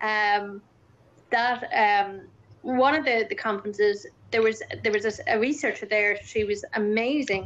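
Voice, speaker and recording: A woman with an Irish accent, fairly high pitch, ordinary pitch variation, very even loudness and a fairly slow pace. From Ireland. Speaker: campaigner and speaker on Usher syndrome. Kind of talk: casual chat.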